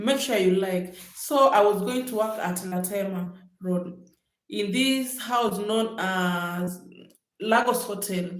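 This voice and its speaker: In a Kenyan accent, a woman of medium pitch speaks at a very slow pace with ordinary pitch variation, and audible room echo surrounds her. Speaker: vlogger. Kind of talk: livestream storytelling. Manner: casual, chatty.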